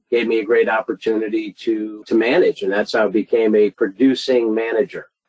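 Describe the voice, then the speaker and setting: Using a plain, everyday voice, a man of medium pitch talks at a fairly quick pace with fairly even intonation. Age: 50s. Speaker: mortgage sales executive. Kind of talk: interview. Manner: casual.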